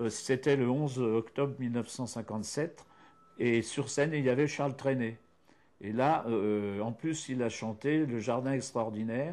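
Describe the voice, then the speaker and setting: A man talks at a fairly slow pace with a medium pitch. His intonation stays fairly even. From France, Yonne (Burgundy). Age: 50s. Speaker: local history author. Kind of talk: interview. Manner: hesitant, many fillers.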